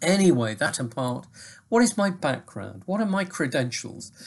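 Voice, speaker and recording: Very wide pitch swings run through a man's somewhat breathy voice. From England, Manchester. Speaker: teacher. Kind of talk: lecture.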